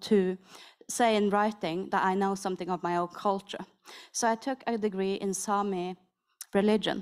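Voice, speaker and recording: A woman speaks with a strong North Norwegian accent. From Northern Norway. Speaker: panelist, Sami artist. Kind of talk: roundtable panel talk.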